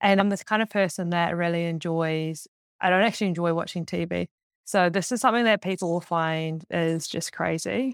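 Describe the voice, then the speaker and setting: Speaking with a New Zealand accent, a woman talks fairly quickly at a fairly low pitch, with ordinary pitch variation. The recording is very clean and the background silent. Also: dry, close sound with no echo. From New Zealand, Auckland. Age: 20s. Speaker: track and field athlete. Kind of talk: casual chat.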